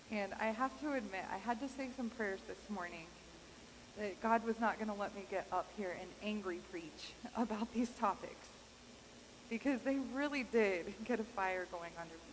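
A woman's fairly high voice with an American accent, ordinary pitch variation and a moderate pace, over light background noise. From Kansas. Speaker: pastor. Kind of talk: sermon. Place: church.

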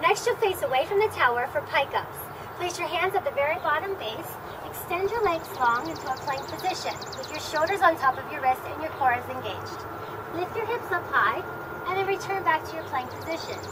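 Background noise is noticeable as a woman talks at a fairly quick pace. Her pitch is extremely high and swings very widely. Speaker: fitness instructor. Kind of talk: tutorial. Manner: clear, instructional cueing, steady and upbeat.

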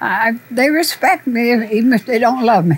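Amid noticeable background noise, a woman talks at a moderate pace and a fairly high pitch. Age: 80s+. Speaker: barber shop owner. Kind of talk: documentary interview answer.

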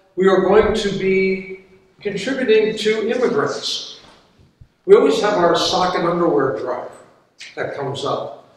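Speaking at a fairly slow pace, a man with a high pitch uses ordinary pitch variation amid strong room echo. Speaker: pastor. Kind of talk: church announcements. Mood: warm, upbeat. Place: church. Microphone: camera far.

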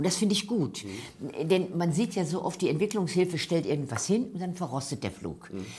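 A woman's fairly low, dark, mellow voice with vocal fry, lively intonation and hardly any pauses. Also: moderate pace. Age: 70s. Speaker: actress. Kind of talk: interview answer. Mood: engaged, earnest. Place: meeting room. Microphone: lapel.

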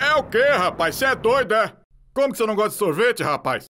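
A man does a cartoonish character voice, high-pitched, raised and projected. He races at a very fast pace with lively intonation. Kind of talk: cartoon fandub dialogue.

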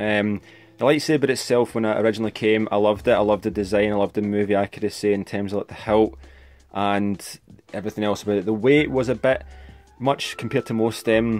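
A man's fairly low voice with a Scottish accent at a very fast pace, faint music in the background. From Scotland. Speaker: toy and prop hobbyist. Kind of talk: casual tutorial talk to camera. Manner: monotone. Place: home room. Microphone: phone near.

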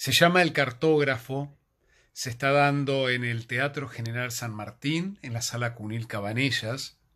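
A man at a fairly slow pace, with ordinary pitch variation and a quiet background. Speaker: theatre reviewer. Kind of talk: casual vlog chat recommending a play. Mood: warm, reflective. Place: home room. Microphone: phone near.

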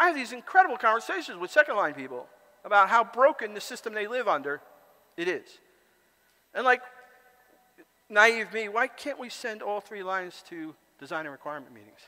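A man's high-pitched, raised and projected voice, fairly quick, with very wide pitch swings, big swings in loudness, and long, frequent pauses. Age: 60s. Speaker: conference speaker and author; conference speaker. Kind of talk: conference talk. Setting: stage with audience. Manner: halting. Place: hall.

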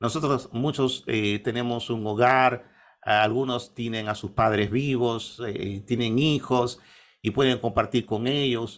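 A man at medium pitch and a very slow pace, with fairly even intonation. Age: 50s. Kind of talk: interview. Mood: calm, devout. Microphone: webcam.

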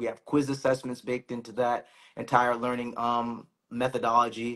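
Over a quiet background, a speaker with an American accent talks at a fairly quick pace in a bright, sharp tone. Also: man. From Boston. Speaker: finance professional; co-host of finance brand. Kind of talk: casual chat. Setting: Instagram live stream. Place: home room.

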